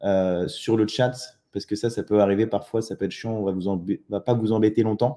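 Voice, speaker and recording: A man's dark, mellow tone, fairly low in pitch, with fairly even intonation, big swings in loudness, a moderate pace and hardly any pauses. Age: 30s. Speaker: online entrepreneur. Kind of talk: live webinar presentation. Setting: live online webinar. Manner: hesitant, many fillers.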